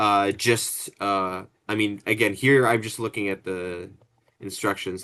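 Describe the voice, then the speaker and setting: In a quiet background, a man speaks at a fairly slow pace with fairly low pitch. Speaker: student. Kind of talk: group project meeting. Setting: video call. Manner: hesitant, many fillers; mumbling while rereading.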